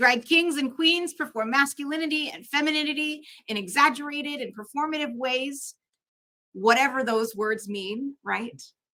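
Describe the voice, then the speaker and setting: A woman with a Canadian accent speaks at a moderate pace in a raised, projected voice, her high pitch carrying a bright, sharp tone and ordinary pitch variation. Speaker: drag performer and ministry student. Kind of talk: conference talk. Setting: conference with live and online audience.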